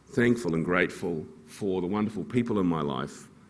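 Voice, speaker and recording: This man speaks with a New Zealand accent. His voice is very deep and low-pitched. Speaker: fund manager. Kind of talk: conference talk.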